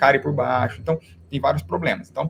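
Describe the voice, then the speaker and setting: This is a man speaking at a medium pitch. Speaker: dentist teaching other dentists. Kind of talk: online live class. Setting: live stream. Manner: fast.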